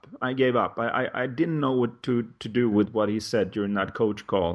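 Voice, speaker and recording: With a Swedish accent, a man speaks at a moderate pace in a medium pitch. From Sweden. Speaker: life coach. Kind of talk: interview conversation.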